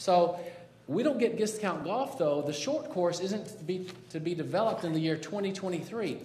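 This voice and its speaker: A man with a high pitch and a dark, mellow tone speaks at a moderate pace with lively intonation, and audible room echo surrounds him. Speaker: citizen activist. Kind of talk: public testimony. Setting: city council chamber. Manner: loud; halting, many fillers and restarts.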